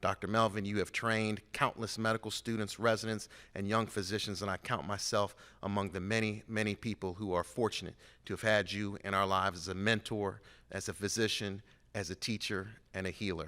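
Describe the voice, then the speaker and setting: A man with an American accent, fairly low in pitch, at a fairly quick pace, with a monotone, flat intonation and a bright, sharp tone. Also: very clean recording, silent background. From Cincinnati, Ohio, US Midwest. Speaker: award presenter, physician. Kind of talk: award introduction speech. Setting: stage with audience.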